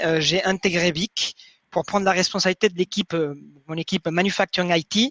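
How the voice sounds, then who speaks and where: Over a quiet background, a man with a high pitch and fairly even intonation sounds dry and close, with no echo. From Mexico City, Mexico. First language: Spanish (speaking French). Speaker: manufacturing IT manager. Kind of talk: webinar presentation. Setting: online webinar.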